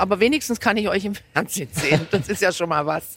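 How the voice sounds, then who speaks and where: A woman in a normal speaking voice, medium in pitch, at a fairly quick pace. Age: 50s. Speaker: football fan using a wheelchair. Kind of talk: interview. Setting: in a football stadium.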